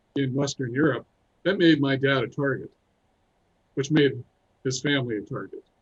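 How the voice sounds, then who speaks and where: Fairly high in pitch and somewhat breathy, a man speaks with fairly even intonation. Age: 60s. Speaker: musician and filmmaker. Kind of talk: interview, personal story. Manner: calm.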